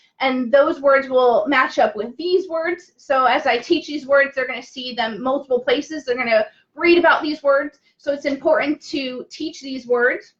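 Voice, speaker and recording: Loud and animated, a woman talks at a high pitch and moderate pace, with ordinary pitch variation and hardly any pauses. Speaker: teacher. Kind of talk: tutorial. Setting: Facebook live stream.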